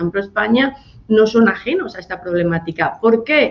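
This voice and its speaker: Over noticeable background noise, a woman with a Spanish accent talks at a fairly quick pace, her pitch fairly high and her intonation lively. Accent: Spanish (Spain). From Spain. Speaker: NGO director. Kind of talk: radio interview.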